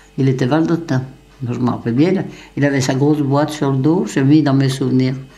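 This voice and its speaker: In a room with audible echo, a woman talks at a fairly quick pace in a very deep, low voice with fairly even intonation. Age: 80s+. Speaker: elderly villager sharing memories. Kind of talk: oral history interview. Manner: halting, repetitive.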